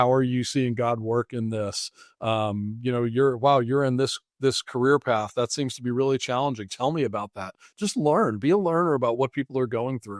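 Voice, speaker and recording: In an American accent, a man with an unremarkable speaking voice talks at medium pitch and a fairly quick pace with fairly even intonation, his dry, close sound with no echo set against a quiet background. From New England, Massachusetts. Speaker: finance professional and mission worker. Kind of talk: interview.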